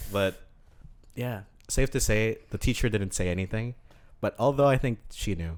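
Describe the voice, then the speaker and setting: This man speaks at a moderate pace with long, frequent pauses. His pitch is medium with ordinary variation. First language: not English. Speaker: podcast co-host. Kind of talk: casual chat.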